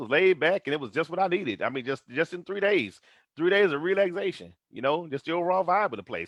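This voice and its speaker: Animated in tone, a man with a Texas accent talks at a very fast pace with ordinary pitch variation. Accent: deep Texas. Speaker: motivational vlogger. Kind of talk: motivational live stream monologue. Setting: Facebook live stream.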